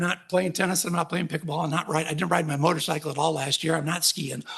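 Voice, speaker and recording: His speech comes at a very fast pace. A man is heard over noticeable background noise. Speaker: patient advocate speaker, ocular melanoma patient. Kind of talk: conference talk. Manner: halting with fillers.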